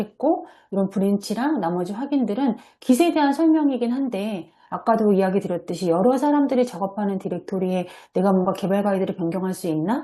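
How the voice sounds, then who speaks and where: Over a quiet background, a woman with a somewhat breathy, dark, mellow tone speaks with lively intonation. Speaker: software developer presenting at a seminar. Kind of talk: online seminar presentation with screen share. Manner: hesitant fillers.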